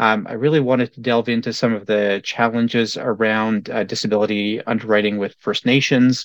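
Over a quiet background, a man with an unremarkable speaking voice talks at a fairly quick pace and medium pitch, the sound dry and close with no echo. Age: 40s. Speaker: podcast host and financial educator. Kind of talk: interview.

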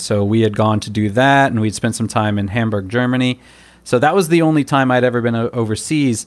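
This is a man with an American accent and an unremarkable speaking voice. His pitch is medium, with ordinary pitch variation. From United States. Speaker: cram school English teacher. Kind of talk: casual interview conversation.

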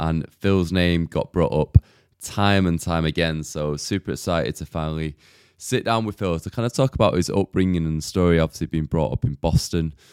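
In a very clean recording with a silent background and a dry, close sound with no echo, a man with a Mancunian accent speaks very fast at a very deep, low pitch with ordinary variation. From Manchester, England. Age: 30s. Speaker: podcast host. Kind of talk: casual interview.

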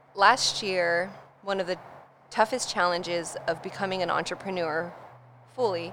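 A woman with a Californian accent and a fairly low pitch. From US West Coast, North San Diego. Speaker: brand storyteller. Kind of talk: casual interview chat. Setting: studio.

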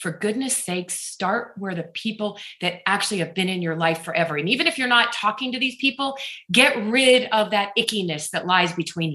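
A woman's animated, medium-pitched voice with lively intonation at a fairly quick pace, over noticeable background noise. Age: 50s. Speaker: author and speaker. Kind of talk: radio interview.

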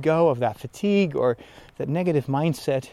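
A man with a Dutch accent speaks in a dark, mellow tone with ordinary pitch variation. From Netherlands. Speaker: priest. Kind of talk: casual monologue. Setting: outdoors. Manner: animated; pitch rises when excited.

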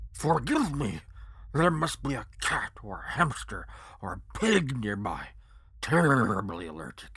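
Putting on a character voice at a medium pitch, a man speaks at a fairly slow pace with big swings in loudness. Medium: audio drama. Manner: pompous, bossy.

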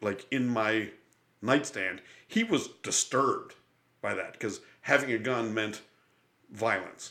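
At a fairly slow pace, a man talks with fairly even intonation, a bright, sharp tone, and medium pitch. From Buffalo, New York. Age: 50s. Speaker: podcast host and comedian. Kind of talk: casual chat. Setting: studio.

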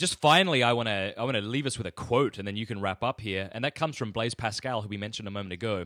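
With an Australian accent, a man of medium pitch talks at a very fast pace with hardly any pauses, in a bright, sharp tone, on a very clean, dry, close recording with no echo and a silent background. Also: ordinary pitch variation. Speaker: podcast guest. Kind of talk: interview.

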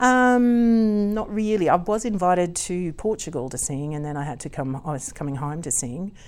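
A woman speaks at a moderate pace in an Australian accent, her fairly low pitch swinging very widely. She barely pauses at all. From Queensland, Australia (Gympie area). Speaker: opera singer and singing teacher. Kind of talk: interview. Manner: laughs often.

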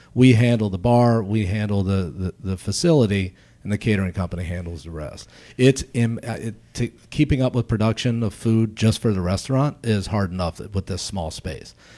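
In a very clean recording with a silent background, a man speaks with an American accent. His tone is dark and mellow, with ordinary pitch variation. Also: fairly low pitch for a man, moderate pace. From US, Baltimore. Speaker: chef and entrepreneur. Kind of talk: casual interview.

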